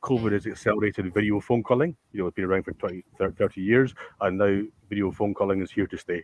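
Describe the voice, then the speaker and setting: Speaking with a Scottish accent, a man keeps his fairly low pitch in fairly even intonation. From Scotland. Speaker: tech company founder. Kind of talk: panel discussion. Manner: halting, stammering.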